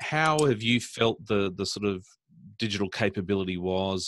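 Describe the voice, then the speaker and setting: At a moderate pace, a man with an Australian accent speaks in a fairly low voice against a quiet background. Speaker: podcast host, smart cities council director. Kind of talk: interview.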